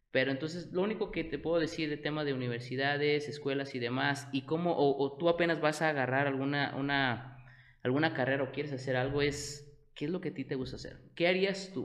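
This man uses a normal speaking voice with a fairly high pitch. He moves at a fairly quick pace, his intonation fairly even. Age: 20s. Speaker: entrepreneur, tequila brand founder. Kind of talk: interview.

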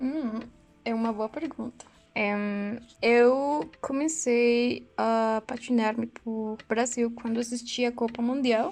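With a Mexican accent, a woman speaks very slowly in a high voice with fairly even intonation. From Mexico. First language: Spanish (speaking Portuguese). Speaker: university student. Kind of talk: casual chat. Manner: halting.

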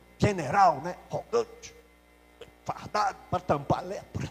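A man's animated voice at a fairly slow pace, with ordinary pitch variation and music in the background. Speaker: pastor. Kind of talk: sermon.

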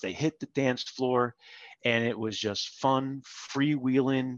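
A man with an unremarkable speaking voice talks at a moderate pace and medium pitch, his intonation fairly even, in a dry, close sound with no echo. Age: 50s. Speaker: father of the host, former DJ. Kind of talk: casual chat. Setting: radio studio.

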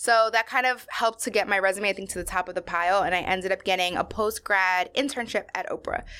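Talking very fast with hardly any pauses, a woman uses a medium pitch and a bright, sharp tone. Her intonation stays fairly even, and the recording is very clean with a silent background. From Maryland, outside Baltimore. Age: 30s. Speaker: media editor and author. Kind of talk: podcast interview. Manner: casual, many fillers.

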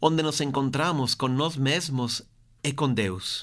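A man speaks at a fairly slow pace in a Portuguese accent, his pitch fairly high and his intonation fairly even. The recording is very clean with a silent background. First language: Portuguese (speaking Spanish). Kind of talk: guided meditation.

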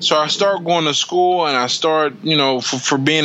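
The speaker has an American accent. Noticeable background noise runs through the clip. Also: man. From US, inner-city projects. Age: 30s. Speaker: boxer and motivational speaker. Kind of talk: casual chat. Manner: animated.

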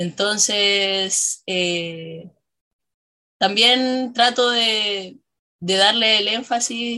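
A woman speaks at a medium pitch with fairly even intonation. Her tone is bright and sharp. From Chile, La Serena. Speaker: dancer. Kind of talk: radio interview. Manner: halting.

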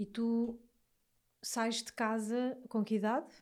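The woman's voice is fairly high in pitch. She delivers everything in a flat monotone. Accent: Alentejo. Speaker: podcast host. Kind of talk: casual chat.

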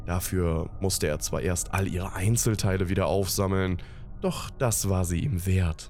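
A man with a very deep, low voice. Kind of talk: creepypasta horror narration, read aloud in a calm, ominous storytelling tone.

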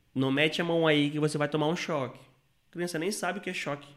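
Speaking at a fairly quick pace, a man with a fairly high voice keeps his intonation fairly even. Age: 20s. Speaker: stock market trader. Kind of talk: interview.

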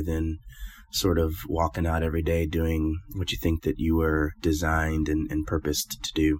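A man with an American accent talks at a moderate pace in a very deep, low, somewhat breathy voice with monotone, flat intonation. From East Texas (Tyler). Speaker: physician. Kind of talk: personal story monologue. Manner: hesitant with frequent ums.

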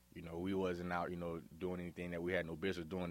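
In a very clean recording with a silent background, a man with an American accent speaks very fast in a very deep, low voice. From Miami, Florida (Liberty City). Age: 20s. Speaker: college football player. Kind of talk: casual interview.

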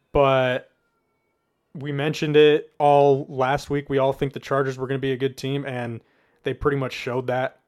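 His intonation is monotone, flat. The man's voice has a medium pitch. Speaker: co-host. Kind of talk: casual sports recap chat.

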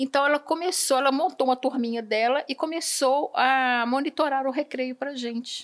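At a moderate pace with hardly any pauses, a high-pitched woman talks with fairly even intonation. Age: 60s. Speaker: retired school principal, educator. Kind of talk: podcast interview. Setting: studio.

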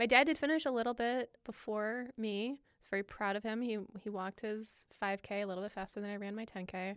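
An unremarkable speaking voice with an American accent and ordinary pitch variation moves at a fairly quick pace in a very clean recording with a silent background and a dry, close sound with no echo. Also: woman, fairly high pitch for a woman. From Michigan. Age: 30s. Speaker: ultrarunner. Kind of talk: casual chat.

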